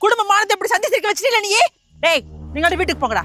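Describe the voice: Putting on a character voice, a woman talks very fast at an extremely high pitch with big pitch swings and a bright, sharp tone, while faint music plays in the background.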